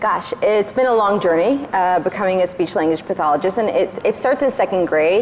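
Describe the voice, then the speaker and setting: A woman speaks at a medium pitch and a fairly quick pace with hardly any pauses, ordinary pitch variation and very even loudness. Noticeable background noise is present. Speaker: speech therapist. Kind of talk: panel discussion. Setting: stage with audience.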